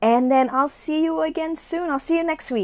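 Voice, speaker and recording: The speaker is a woman. She uses lively intonation. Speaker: realtor and live video host. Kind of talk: live video talk. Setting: live stream from home. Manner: casual, chatty.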